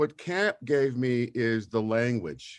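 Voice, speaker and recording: This is a man with a Californian accent. His pitch varies an ordinary amount. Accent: Californian American English. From US West Coast, Los Angeles (Watts). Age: 60s. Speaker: social justice advocate, camp alumnus. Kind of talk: interview testimony.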